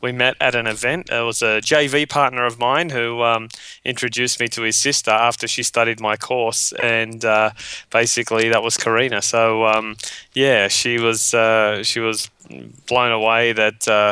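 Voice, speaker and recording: A man with an Australian accent delivers his words in a bright, sharp tone with monotone, flat intonation at a moderate pace. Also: medium pitch for a man. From Australia, western suburbs of Sydney. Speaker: webinar marketing trainer. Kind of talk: interview.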